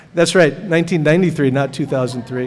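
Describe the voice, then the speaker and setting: With an American accent, a man speaks in fairly even intonation over audible room echo. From US Pacific Northwest, Seattle. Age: 60s. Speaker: glass artist. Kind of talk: artist lecture. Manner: halting, many fillers.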